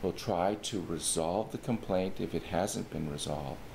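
A man talks at a very deep, low pitch with ordinary pitch variation while noticeable background noise runs underneath. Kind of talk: informational explainer. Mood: calm, formal. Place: office.

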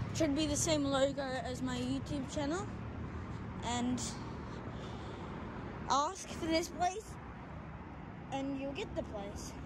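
Over loud background noise, a woman speaks at a very slow pace in a dry sound with no echo. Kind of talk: casual vlog commentary. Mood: excited, awed. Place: open country. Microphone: phone near.

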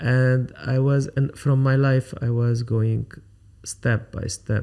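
A man with an Arabic accent speaks at a very slow pace in a dark, mellow tone. His intonation is fairly even, and the background is quiet. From Lebanon. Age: 50s. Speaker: photographer; podcast guest. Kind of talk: interview. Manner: halting. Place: studio. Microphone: studio mic.

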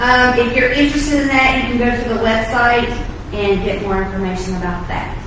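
A woman speaks at a high pitch with ordinary pitch variation. Strong room echo and light background noise fill the recording. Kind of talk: church announcements. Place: church.

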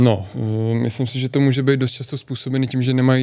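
A man talks at a very fast pace in a dark, mellow tone with monotone, flat intonation. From Czech Republic, near Turnov. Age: 30s. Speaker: decathlete. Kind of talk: interview.

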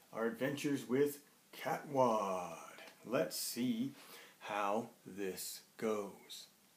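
A man talks with ordinary pitch variation at a very slow pace. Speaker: host reading to children. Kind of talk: casual vlog chat for kids. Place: home room. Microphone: webcam.

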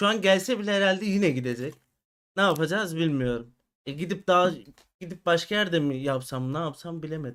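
High-pitched male speech, fairly fast, its pitch moving in an ordinary way. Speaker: crypto market analyst. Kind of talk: live stream chat. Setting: live stream from home.

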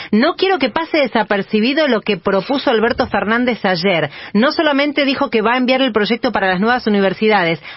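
A woman's ordinary speaking voice, fairly high in pitch and lively in intonation, at a fairly quick pace with hardly any pauses, against a quiet background. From Argentina. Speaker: news show host. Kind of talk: news commentary. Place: studio.

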